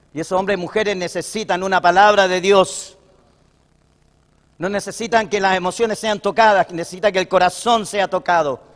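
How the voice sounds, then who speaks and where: His pitch is high for a man. He keeps his intonation fairly even. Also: fairly quick pace. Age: 60s. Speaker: pastor. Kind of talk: sermon.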